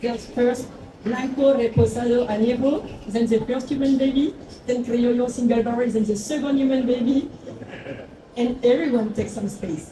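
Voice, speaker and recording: The woman has a high pitch and fairly even intonation. Audible room echo and noticeable background noise come through. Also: moderate pace. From France. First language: French. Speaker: agave spirits brand founder. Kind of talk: panel talk.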